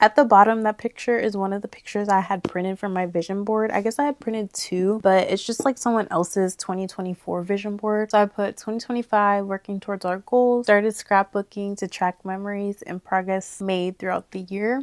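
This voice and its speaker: A woman speaks in a plain, everyday voice at a medium pitch and a fairly quick pace, with hardly any pauses. Her intonation is fairly even, and the sound is dry and close with no echo. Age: 20s. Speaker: content creator. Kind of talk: casual talk to camera.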